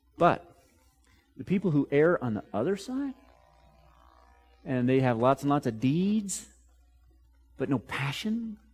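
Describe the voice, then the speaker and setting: Over music in the background, a man with a fairly high pitch speaks at a fairly slow pace, with very wide pitch swings and long, frequent pauses. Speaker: pastor. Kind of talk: sermon, expository preaching.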